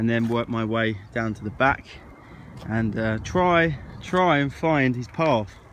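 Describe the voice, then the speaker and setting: A man with an English accent at a very slow pace. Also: medium pitch for a man, ordinary pitch variation. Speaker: gardening vlogger. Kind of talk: casual vlog talk. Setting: outdoors on allotment.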